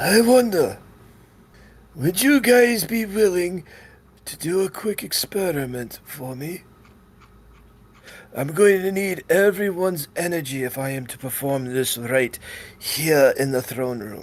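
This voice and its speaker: A man puts on a character voice with a high pitch, talking at a fairly slow pace with long, frequent pauses. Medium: actual play. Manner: grave, deliberate.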